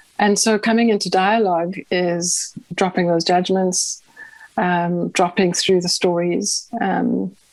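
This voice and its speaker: Very slowly, a woman speaks at a medium pitch with monotone, flat intonation against noticeable background noise. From South Africa. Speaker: mystic and community kitchen host. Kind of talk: interview sharing personal story. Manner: hesitant, many fillers.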